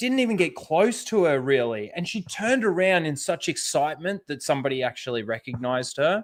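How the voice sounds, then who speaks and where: The voice is loud and fairly quick, with very wide pitch swings. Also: man. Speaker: YouTuber. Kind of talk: casual chat.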